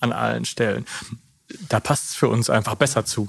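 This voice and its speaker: At a moderate pace, a man with an unremarkable speaking voice talks at medium pitch with fairly even intonation. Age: 30s. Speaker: managing director, lawyer by training. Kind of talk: interview conversation. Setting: on location at company.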